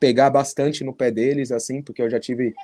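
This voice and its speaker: Dark, mellow tone in a man's fairly high voice. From São Paulo metro area, Carapicuíba. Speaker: futsal player. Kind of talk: interview.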